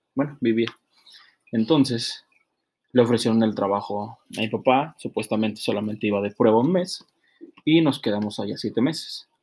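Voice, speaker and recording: Long, frequent pauses in a man's moderate-paced speech, medium in pitch with ordinary pitch variation. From Monterrey, northern Mexico. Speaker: interviewee. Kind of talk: interview. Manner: halting, many repetitions.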